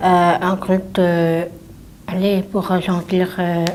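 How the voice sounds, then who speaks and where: A woman's voice at medium pitch. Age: 30s. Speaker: athlete with Down syndrome. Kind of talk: interview.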